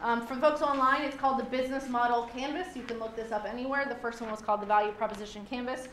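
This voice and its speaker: With audible room echo and noticeable background noise, a woman talks at a very fast pace in a high pitch, with hardly any pauses and fairly even intonation. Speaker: small business consultant. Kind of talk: lecture.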